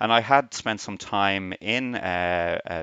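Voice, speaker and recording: A man speaks with a Dublin accent. His pitch is very deep and low. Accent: Irish (Dublin). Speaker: radiography professor. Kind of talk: interview.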